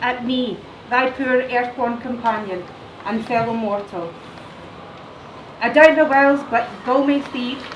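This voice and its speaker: A woman with a Scottish accent speaks at a fairly slow pace in a high pitch with ordinary pitch variation. Noticeable background noise and audible room echo fill the recording. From Scotland. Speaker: teacher. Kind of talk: poetry reading.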